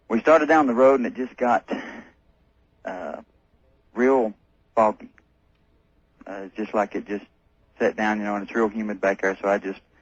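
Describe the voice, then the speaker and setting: A man with a slight North Carolina accent and a fairly low pitch talks at a moderate pace with ordinary pitch variation. He takes long, frequent pauses, and his loudness swings widely. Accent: slight North Carolina Southern. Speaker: caller. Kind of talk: telling a personal story on a call-in radio show. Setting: phone call to a radio show. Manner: halting, many filler sounds.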